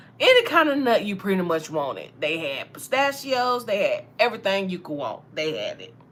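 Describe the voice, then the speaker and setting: Noticeable background noise sits behind a woman with an American accent. She keeps a moderate pace with hardly any pauses and big swings in loudness. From US South, Alabama. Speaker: tarot reader. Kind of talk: casual storytelling.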